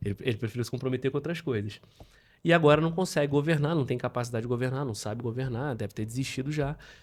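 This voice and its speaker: Very fast male speech at a medium pitch, ordinary in its pitch variation. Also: very clean recording, silent background. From Rio de Janeiro state, Brazil (Petrópolis). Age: 30s. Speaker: politician. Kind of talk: podcast interview.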